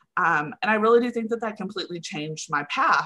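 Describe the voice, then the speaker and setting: In a Texan accent, a woman speaks with a bright, sharp tone. Her pitch variation is ordinary. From Texas (Henrietta, near Wichita Falls). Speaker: communications coordinator. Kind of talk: interview.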